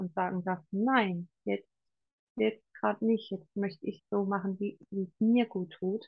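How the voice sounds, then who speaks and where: Fairly slow speech from a woman with a medium pitch. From Palatinate, Germany. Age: 40s. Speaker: coach. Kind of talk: interview.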